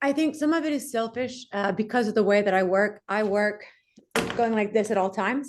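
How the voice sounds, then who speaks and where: A woman talks at a fairly quick pace with a fairly high pitch. Her pitch varies in an ordinary way and her loudness stays very even. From US South, Mobile, Alabama. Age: 40s. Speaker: entrepreneur, company CEO. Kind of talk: interview.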